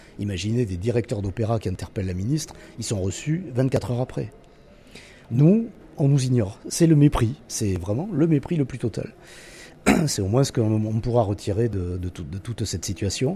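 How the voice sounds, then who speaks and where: With a medium pitch and a dark, mellow, somewhat breathy tone, a man speaks at a moderate pace with lively intonation and long, frequent pauses. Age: 60s. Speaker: artistic director of a concert venue. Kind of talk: radio interview.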